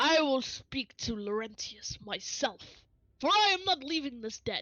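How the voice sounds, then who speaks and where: At a moderate pace, a put-on character voice swings very widely in pitch. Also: woman, high pitch for a woman. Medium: actual play. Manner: stiff, would-be intimidating.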